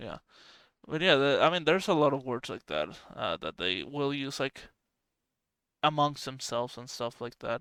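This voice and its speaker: A man's fairly high voice in a Spanish accent, bright and sharp in tone, with long, frequent pauses and a dry, close sound with no echo. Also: ordinary pitch variation, moderate pace, very clean recording, silent background. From Venezuela. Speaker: podcast host. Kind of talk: casual chat.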